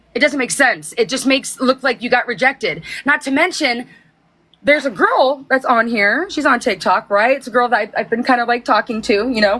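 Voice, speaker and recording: Fairly quick, animated speech in a bright, sharp tone with ordinary pitch variation. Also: woman, high pitch for a woman. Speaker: TikTok livestreamer. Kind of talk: casual chat. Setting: livestream. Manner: aggressive tone.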